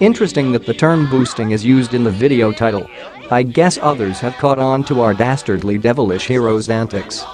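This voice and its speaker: A man's voice at medium pitch and a fairly quick pace, with ordinary pitch variation and noticeable background noise. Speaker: gaming video narrator. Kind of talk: mock documentary narration.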